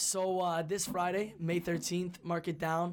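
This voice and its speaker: A high-pitched man with a Canadian accent, moderate pace, and monotone, flat intonation. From Canada. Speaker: musician. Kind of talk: casual chat.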